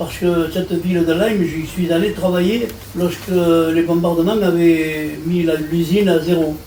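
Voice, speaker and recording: A high-pitched man at a moderate pace, with audible room echo and noticeable background noise. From France, Marseille. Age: 80s+. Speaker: war veteran and deportation survivor. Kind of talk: interview testimony. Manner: halting.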